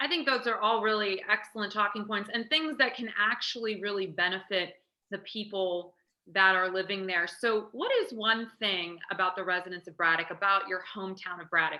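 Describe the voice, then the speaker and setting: A woman's ordinary speaking voice at medium pitch and moderate pace, with ordinary pitch variation and big swings in loudness. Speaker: local news interviewer. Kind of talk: interview host talk. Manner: upbeat.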